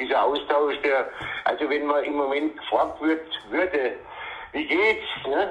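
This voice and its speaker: A man at a fairly slow pace, with long, frequent pauses and noticeable background noise. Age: 70s. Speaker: dialect poet. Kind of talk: phone interview. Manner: halting.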